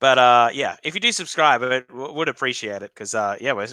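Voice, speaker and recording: A man at a moderate pace, bright and sharp in tone with ordinary pitch variation, dry and close with no echo, in a very clean recording with a silent background. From Australia, Victoria. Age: 30s. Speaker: hockey live streamer. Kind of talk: live reaction stream chat. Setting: live stream. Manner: casual, chatty with hesitations.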